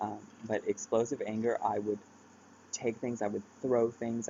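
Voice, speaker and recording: A man keeps a moderate speed, his intonation monotone and flat. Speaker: vlogger sharing mental health experience. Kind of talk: personal vlog talk. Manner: halting, many fillers.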